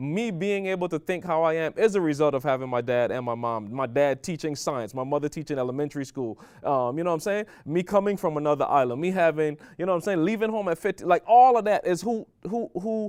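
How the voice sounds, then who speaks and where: A man with a Caribbean accent speaks at a very fast pace and a fairly high pitch. His tone is animated, with lively intonation. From Barbados. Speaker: podcast co-host. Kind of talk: casual chat.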